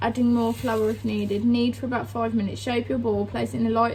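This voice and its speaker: A woman with a Birmingham accent. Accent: Birmingham (Brummie) English. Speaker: vlogger. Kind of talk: reading aloud.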